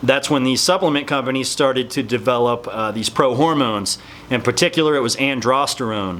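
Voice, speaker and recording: A man mumbles at a moderate pace, his pitch medium with ordinary variation. Background noise is noticeable. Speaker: fitness supplement youtuber. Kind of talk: casual talking-head explainer video. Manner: mumbling.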